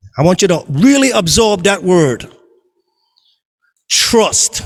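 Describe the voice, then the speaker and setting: A man's very slow speech with very wide pitch swings, over music in the background. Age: 70s. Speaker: storyteller. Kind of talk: storytelling.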